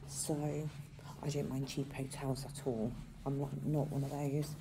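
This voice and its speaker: The voice has a dark, mellow tone and is somewhat breathy, with noticeable background noise around it. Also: woman. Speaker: vlogger. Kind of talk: casual vlog chat. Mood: cheerful, laughing. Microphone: phone near.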